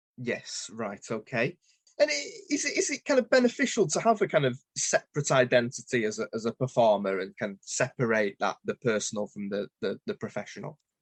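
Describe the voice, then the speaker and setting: A man talks at a fairly quick pace with a northern English accent. The sound is dry and close, with no echo. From northern England. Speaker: podcast host. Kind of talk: interview.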